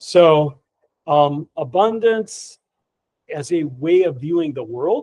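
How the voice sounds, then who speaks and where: A man with a fairly high pitch speaks at a very slow pace, with long, frequent pauses. His intonation is lively. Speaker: Zen teacher and author. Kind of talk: dharma talk. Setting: hall with live audience. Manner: energetic; sometimes very quiet for emphasis.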